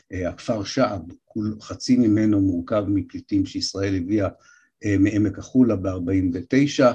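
A man speaks very slowly with a fairly low pitch and fairly even intonation. His dark, mellow tone is somewhat breathy, set against a quiet background. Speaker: historian lecturer. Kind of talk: lecture.

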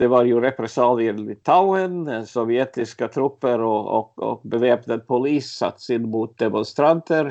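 A man's medium-pitched voice, fairly slow yet with hardly any pauses, its pitch varying in an ordinary way. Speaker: journalist, eyewitness. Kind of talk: interview, personal recollection. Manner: halting, many fillers and repetitions.

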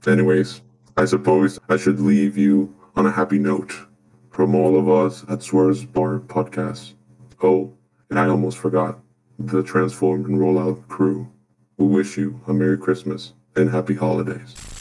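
The man's pitch is very deep and low, and his pace is moderate. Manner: sarcastic, dry.

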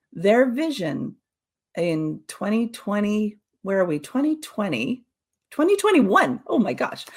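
At a fairly high pitch, a woman speaks with a somewhat breathy sound and a fairly slow pace. Her pitch swings very widely. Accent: Canadian. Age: 50s. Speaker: social audio consultant. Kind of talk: webinar presentation. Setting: online webinar.

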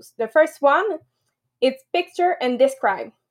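This woman has a high pitch and lively intonation. She speaks at a fairly slow pace. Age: 30s. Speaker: biologist. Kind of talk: presentation on a live group call. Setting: video call. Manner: giggly.

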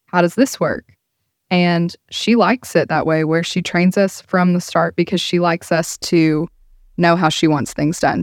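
In a very clean recording with a silent background and a dry, close sound without echo, a woman with a fairly low pitch speaks at a moderate pace with fairly even intonation in a plain, everyday voice. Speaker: title company employee. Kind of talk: casual chat. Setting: studio.

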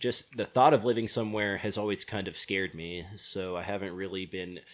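With an American accent and an unremarkable speaking voice, a man of fairly low pitch talks at a moderate pace in a very clean recording with a silent background. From US West Coast, California. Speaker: traveler, backpacker. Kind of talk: casual chat, podcast interview. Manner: casual, jokey, laughs often.

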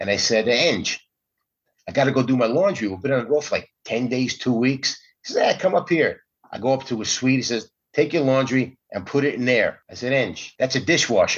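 A man with an American accent speaks in an ordinary speaking voice at a fairly quick pace, his medium pitch showing ordinary variation. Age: 60s. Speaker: comedian. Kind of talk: casual chat.

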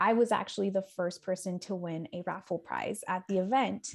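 With an American accent, a woman speaks in a normal speaking voice at a medium pitch and moderate pace, with ordinary pitch variation. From San Diego, California. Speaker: executive assistant. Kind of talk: casual interview chat.

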